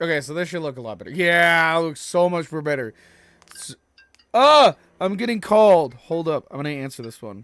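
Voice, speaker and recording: Over music in the background, a man with a high pitch speaks with lively intonation and big swings in loudness. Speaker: gaming streamer. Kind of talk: casual live stream chat.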